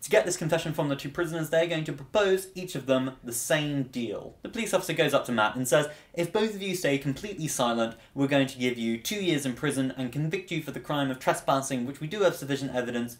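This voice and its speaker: Talking at a very fast pace with hardly any pauses, a man keeps his pitch variation ordinary. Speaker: student vlogger. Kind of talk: explanatory vlog talk. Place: home room.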